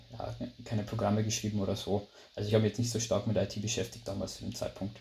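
Somewhat breathy speech from a man with a Bavarian accent at a fairly quick pace. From Lower Bavaria, Germany. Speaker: management consultant. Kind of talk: interview. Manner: hesitant, many fillers.

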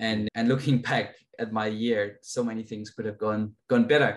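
This man speaks with a Danish accent. His intonation stays fairly even. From Denmark. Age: 20s. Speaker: racing driver. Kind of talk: interview.

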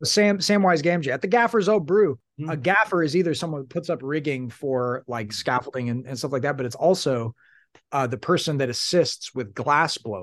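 Over a quiet background, a man with an American accent talks in a fairly high pitch with lively intonation. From US Midwest, Southern Illinois. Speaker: novelist and singer-storyteller. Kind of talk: reading aloud from own novel; casual interview chat.

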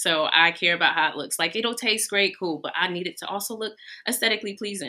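On a very clean recording with a silent background, a woman speaks at a fairly quick pace in a shaky voice with a bright, sharp tone and ordinary pitch variation. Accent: American. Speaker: baker, small business owner. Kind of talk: live podcast interview. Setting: lounge with live audience. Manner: slightly shaky.

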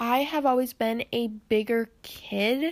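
A woman's fairly high-pitched voice. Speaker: podcast host. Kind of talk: casual monologue. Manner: hesitant, many filler words.

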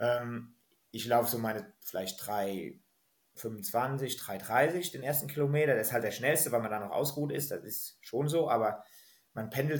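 Somewhat breathy male voice at medium pitch, moderate pace, ordinary pitch variation and big swings in loudness. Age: 30s. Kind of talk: podcast interview.

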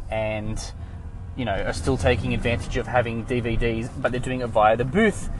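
In an Australian accent, a man talks at a medium pitch with fairly even intonation. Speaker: podcaster. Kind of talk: casual monologue. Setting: in a car.

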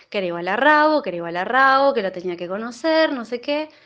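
A woman with a Rioplatense accent speaks in a high voice. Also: quiet background. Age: 30s. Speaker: listener sharing a personal story. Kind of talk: personal anecdote.

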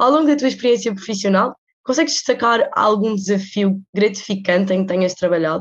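A woman's unremarkable speaking voice at medium pitch, fairly quick in pace, with ordinary pitch variation and very even loudness. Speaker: student podcast host. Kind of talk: interview.

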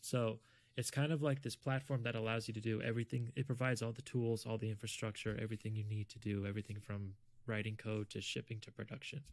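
A man with an American accent talks at a very fast pace in a medium pitch, his intonation fairly even, on a very clean recording with a silent background. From US South (South Florida). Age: 30s. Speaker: software engineer. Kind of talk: testimony; casual chat.

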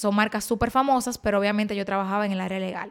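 A woman with a Dominican accent on a very clean recording with a silent background. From Dominican Republic. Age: 20s. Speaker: beauty influencer and podcast host. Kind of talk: personal storytelling monologue.

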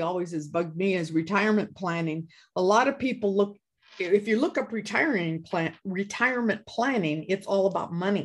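With an American accent, a woman uses an ordinary speaking voice at medium pitch, with lively intonation and a fairly quick pace. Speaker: podcast co-host. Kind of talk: casual chat.

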